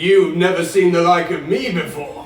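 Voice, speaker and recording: A man uses a put-on character voice with a high pitch, speaking at a moderate pace. Faint music plays in the background, and there is a slight echo. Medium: short film. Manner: hearty, booming welcome.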